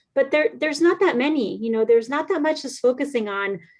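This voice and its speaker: A woman speaks with a Spanish accent in a high pitch. Her intonation is lively. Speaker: children's book author. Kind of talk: interview. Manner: casual, with many fillers.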